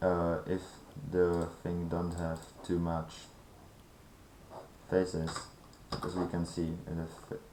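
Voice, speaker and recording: With a non-native accent, a man speaks at a very slow pace in a very deep, low pitch, his intonation monotone and flat, with long, frequent pauses and audible room echo. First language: not English. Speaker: gaming tutorial creator. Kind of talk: tutorial. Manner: halting.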